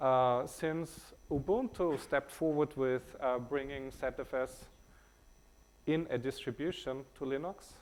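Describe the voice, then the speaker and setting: Pitched fairly high, a man talks at a fairly slow pace with ordinary pitch variation. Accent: German. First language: German. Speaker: tech company CEO. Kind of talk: conference talk. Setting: stage with audience. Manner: many fillers (uh, um).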